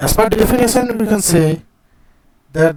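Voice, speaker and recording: A man with an Indian accent speaks at a fairly slow pace, his dark, mellow tone carried by lively intonation. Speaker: chemistry teacher. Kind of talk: lecture.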